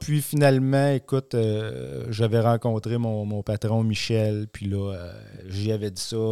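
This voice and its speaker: The pace is very slow. The sound is dry and close with no echo, on a very clean recording with a silent background. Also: man. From Quebec, Centre-du-Québec (dairy farm near Warwick). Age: 40s. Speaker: agronomy sales rep for seed company. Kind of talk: casual interview.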